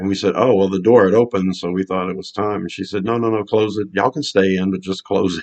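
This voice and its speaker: In a Louisiana accent, a man speaks at a very fast pace. His pitch is fairly low and his intonation fairly even. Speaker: fan video host. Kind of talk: casual vlog storytelling.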